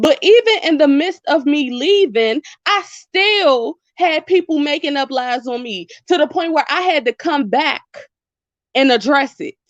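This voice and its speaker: A woman's high, animated voice in an American accent, full of lively intonation, at a fairly slow pace, with a dry, close sound, no echo, and a quiet background. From Washington DC. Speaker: YouTuber. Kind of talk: livestream chat with viewers. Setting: phone livestream.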